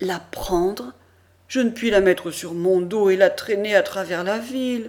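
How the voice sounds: Ordinary pitch variation in a natural reading voice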